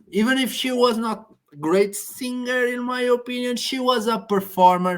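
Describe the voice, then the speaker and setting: A woman's high-pitched voice in a Portuguese accent, with ordinary pitch variation. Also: moderate pace. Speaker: Eurovision discussion co-host. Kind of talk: casual chat. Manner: halting.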